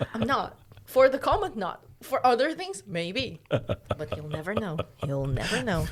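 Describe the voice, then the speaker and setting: Speaking at a fairly slow pace, a woman has a medium pitch with very wide pitch swings and big swings in loudness. Noticeable background noise sits behind her. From Uzbekistan. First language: Russian. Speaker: podcast co-host. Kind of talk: casual chat. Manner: halting.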